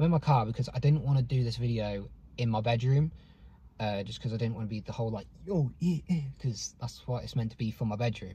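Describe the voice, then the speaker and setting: A man speaks at a medium pitch and a fairly quick pace with ordinary pitch variation. His tone is dark and mellow, and somewhat breathy. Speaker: YouTuber. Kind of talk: personal vlog monologue. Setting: in a car. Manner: halting.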